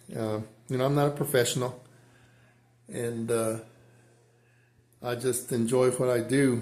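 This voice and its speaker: The speaker keeps a moderate pace. Audible room echo surrounds the voice. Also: man. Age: 60s. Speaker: amateur drummer. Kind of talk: casual chat. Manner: halting.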